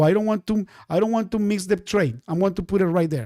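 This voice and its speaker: A man with a Spanish accent talks in an animated tone at a high pitch. The recording is very clean and dry, with a close sound, no echo and a silent background. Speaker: day trading teacher. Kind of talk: live-stream trading class. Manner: animated, repetitive.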